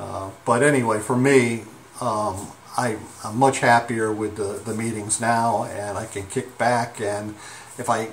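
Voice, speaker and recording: A man talks with fairly even intonation over light background noise. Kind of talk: casual vlog chat. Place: home room. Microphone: phone near.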